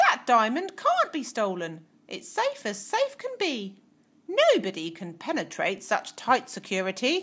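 The female-sounding voice is a put-on character voice, pitched high for a woman and moving at a moderate pace. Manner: confident, brisk.

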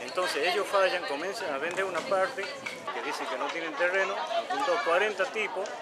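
A man's raised, projected voice, high in pitch with very wide pitch swings, at a fairly quick pace over crowd noise in the background. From Argentina. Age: 60s. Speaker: resident in a land dispute. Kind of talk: interview. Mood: aggrieved, explaining a conflict. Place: street.

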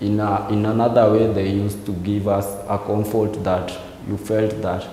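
A man speaks at a fairly low pitch and fairly slow pace. Audible room echo and light background noise surround him. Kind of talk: interview answer. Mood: reflective, subdued.

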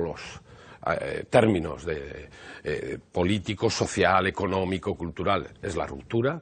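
A somewhat breathy male voice. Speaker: party politician. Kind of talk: live TV interview answer. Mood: serious, measured political argument. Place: office. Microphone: lapel.

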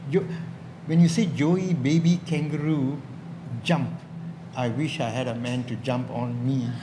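Someone with a Malaysian accent speaks at a fairly slow pace with long, frequent pauses over noticeable background noise. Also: man, fairly high pitch for a man, ordinary pitch variation. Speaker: comedy workshop panelist and comedian; panelist, comedian. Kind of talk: stand-up comedy. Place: stage.

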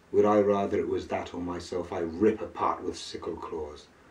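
Speaking fairly slowly, a man is heard. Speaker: poet. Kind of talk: poetry reading. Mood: brooding, melancholic. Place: home room. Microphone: camera far.

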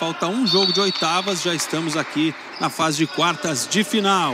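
Over noticeable background noise, a man speaks in a raised, projected voice at a moderate pace and high pitch. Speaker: play-by-play commentator. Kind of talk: live commentary.

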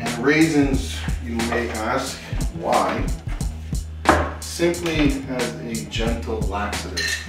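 A man speaks with clear music in the background. Audible room echo surrounds his voice. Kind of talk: casual vlog chat. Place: kitchen.

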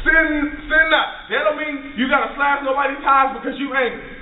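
An extremely high-pitched man's voice at a fairly quick pace, with audible room echo. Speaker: minister preaching. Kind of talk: rousing call-and-response sermon to a congregation. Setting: church service with live audience. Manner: fervent, repetitive preacher cadence with rhetorical questions; informal, stumbling with fillers and restarts. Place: classroom. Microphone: camera far.

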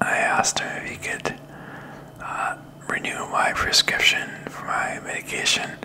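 Whispering, a man speaks at a very slow pace. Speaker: vlogger. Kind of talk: casual vlog chat. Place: home room. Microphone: studio mic.

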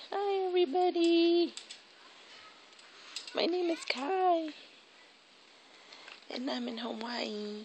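A woman speaks at a very slow pace, with light background noise and a dry sound that has no echo. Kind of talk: casual vlog chat, baby talk. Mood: affectionate, playful. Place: garden. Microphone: phone near.

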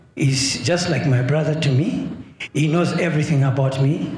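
There is audible room echo around this man's voice. He talks fairly slowly at a fairly high pitch. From Zambia. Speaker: prophet. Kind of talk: testimony. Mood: earnest, troubled. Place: church. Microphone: handheld.

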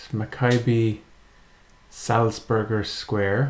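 The man's voice sits at a fairly low pitch with ordinary pitch variation. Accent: Irish. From Ireland. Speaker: gaming YouTuber. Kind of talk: casual gameplay commentary. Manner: hesitant, thinking aloud.

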